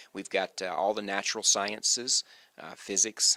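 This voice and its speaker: With an American accent, a man talks at a fairly low pitch in a bright, sharp tone, recorded very cleanly against a silent background with a dry, close sound and no echo. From US South, North Carolina. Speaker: university administrator. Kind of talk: interview.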